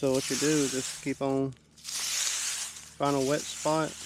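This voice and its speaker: A man with a fairly high pitch talks in a relaxed tone at a very slow pace, his intonation flat and monotone, over noticeable background noise. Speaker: outdoors vlogger. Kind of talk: casual vlog narration. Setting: outdoors by a fishing hole. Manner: relaxed, conversational.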